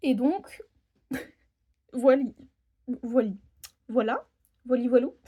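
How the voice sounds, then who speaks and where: A woman with a high-pitched voice, dark and mellow in tone, talks at a fairly slow pace. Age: 20s. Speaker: budgeting vlogger and home care worker. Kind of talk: casual vlog monologue. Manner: hesitant, many fillers.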